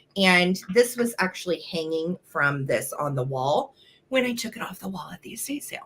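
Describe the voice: A woman's whispering, raspy put-on character voice at a moderate pace, with big swings in loudness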